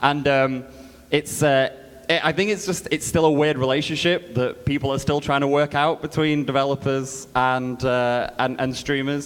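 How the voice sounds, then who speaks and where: Fairly high in pitch, a man talks at a moderate pace with fairly even intonation and very even loudness. Noticeable background noise is present. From Britain. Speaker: game publisher representative. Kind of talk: conference panel talk.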